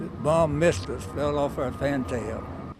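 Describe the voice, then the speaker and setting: A man's fairly high-pitched voice shows ordinary pitch variation while music plays in the background. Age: 80s+. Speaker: WWII veteran and retired minister. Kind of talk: interview answer.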